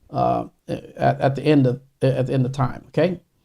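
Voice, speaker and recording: The man talks at a very slow pace. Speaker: pastor. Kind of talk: sermon. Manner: halting.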